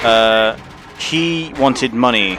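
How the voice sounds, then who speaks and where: A man with an English accent at medium pitch and ordinary pitch variation, against noticeable background noise. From England. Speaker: game streamer. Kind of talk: casual live-stream commentary. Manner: casual, filler-heavy rambling speech.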